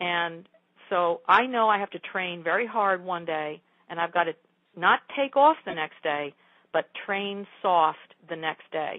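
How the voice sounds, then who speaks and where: A woman with a normal speaking voice talks at a fairly slow pace, her fairly low pitch showing ordinary pitch variation. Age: 60s. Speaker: yoga teacher and martial artist. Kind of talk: interview.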